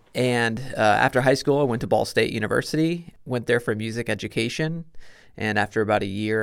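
A man with a Midwestern American accent at medium pitch, with ordinary pitch variation and a fairly quick pace, in a very clean recording with a silent background. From Indiana. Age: 30s. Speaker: marathon runner and heart surgery survivor. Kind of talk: casual chat. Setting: studio.

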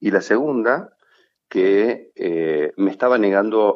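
A man with a fairly low pitch shows ordinary pitch variation. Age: 50s. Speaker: sales executive. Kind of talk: interview. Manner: halting.

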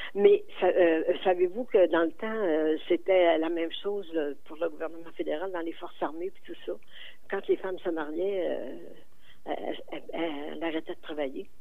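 A woman with a fairly low pitch speaks at a moderate pace with fairly even intonation, and audible room echo is present. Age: 80s+. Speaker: community volunteer. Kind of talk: radio interview.

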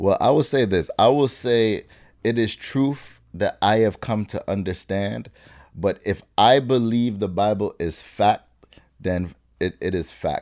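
A man with an unremarkable speaking voice talks at a fairly slow pace, his pitch fairly low with ordinary variation, in a very clean recording with a silent background. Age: 30s. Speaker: minister. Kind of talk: interview.

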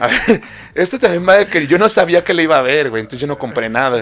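A man with a Mexican accent at a fairly quick pace, amid noticeable background noise. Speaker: podcast co-host. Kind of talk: casual chat. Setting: studio.

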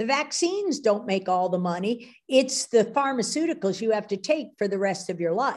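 A woman with an unremarkable speaking voice talks at a moderate pace with hardly any pauses. Her fairly high voice has lively intonation. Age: 60s. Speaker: biochemist. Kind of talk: interview with slide presentation.

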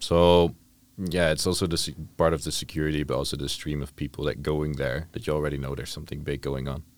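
Very fast speech with vocal fry and fairly even intonation. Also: man, very deep, low pitch for a man. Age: 20s. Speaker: tourism management student. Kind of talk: casual chat.

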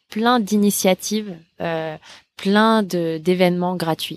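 With a fairly low pitch and ordinary pitch variation, a woman talks at a very slow pace in a dry, close sound with no echo on a very clean recording with a silent background. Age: 20s. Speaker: app co-founder. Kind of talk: casual interview. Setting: outdoor terrace at home. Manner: hesitant, many fillers.

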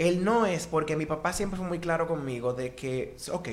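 Against noticeable background noise and audible room echo, a man speaks. His fairly high voice swings very widely in pitch. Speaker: singer and music therapist. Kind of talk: casual chat.

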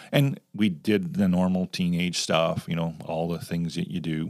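A man with a Canadian accent speaks in a very deep, low pitch. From Canada. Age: 60s. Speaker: youth ministry director. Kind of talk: casual chat.

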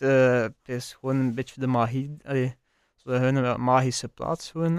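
Heard in a dry, close sound with no echo, a man speaks at a moderate pace in a medium pitch with monotone, flat intonation. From West Flanders, Belgium (Wervik). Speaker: chef. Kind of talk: casual interview.

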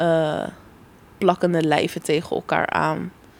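Slowly and with vocal fry, a woman speaks at a very deep, low pitch in a monotone, flat delivery. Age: 20s. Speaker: law student. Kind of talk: casual chat.

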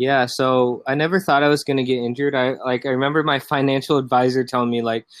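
Here a man talks at a fairly quick pace. His fairly high voice keeps a fairly even intonation. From US Midwest, Iowa (born South Korea, adopted as infant). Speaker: Instagram growth agency founder. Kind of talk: podcast interview. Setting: home sunroom, remote call.

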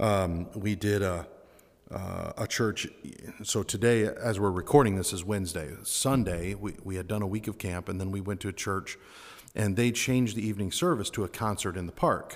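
An American man with a fairly low pitch and ordinary pitch variation speaks at a moderate pace. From United States. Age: 40s. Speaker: podcast host and gospel singer. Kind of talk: casual interview. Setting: room at a summer camp.

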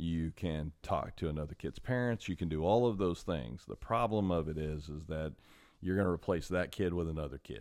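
Here is a man with a very deep, low pitch. His pace is moderate. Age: 40s. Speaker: podcast host and martial arts instructor. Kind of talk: solo podcast monologue. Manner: casual, with many filler words.

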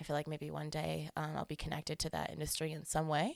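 With an American accent, a woman speaks at a fairly quick pace. Her very deep, low voice has vocal fry. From Colorado. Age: 20s. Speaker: music event worker. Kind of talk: casual chat.

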